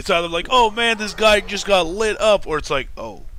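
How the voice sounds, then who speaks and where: A man talks at a moderate pace. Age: 20s. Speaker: gaming streamer. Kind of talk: casual chat. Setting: live stream.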